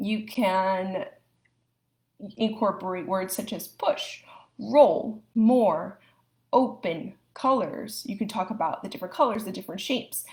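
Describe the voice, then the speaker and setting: A somewhat breathy, fairly high-pitched woman's voice at a fairly slow pace, with ordinary pitch variation and big swings in loudness, on a very clean recording with a silent background. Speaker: speech language pathologist. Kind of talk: live educational talk.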